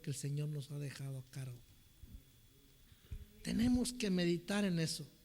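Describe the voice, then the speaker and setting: A man speaks at a fairly slow pace with long, frequent pauses. His tone is dark and mellow, his pitch fairly high with ordinary variation. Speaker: preacher. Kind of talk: sermon.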